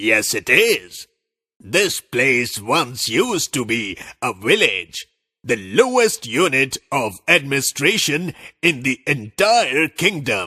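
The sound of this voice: In a cartoonish character voice at a medium pitch, a man speaks at a fairly slow pace on a very clean recording with a silent background.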